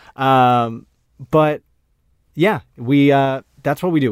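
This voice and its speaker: A man with an ordinary speaking voice at a medium pitch, at a fairly slow pace, in a dry, close sound with no echo. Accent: American. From Maine, US. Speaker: former pro baseball player, digital media worker. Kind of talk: casual chat.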